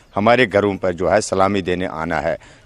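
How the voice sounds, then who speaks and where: This man has an unremarkable speaking voice, fairly low in pitch. He keeps a moderate pace. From Kashmir. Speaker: interviewee, displaced Kashmiri Pandit. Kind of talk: interview.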